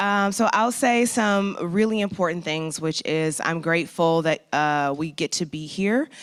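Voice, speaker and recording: This woman speaks in a normal speaking voice with an American accent, her pitch fairly low and her pitch variation ordinary. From St. Louis, US Midwest. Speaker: conference host. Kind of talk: event emcee address. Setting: conference hall with live and online audience.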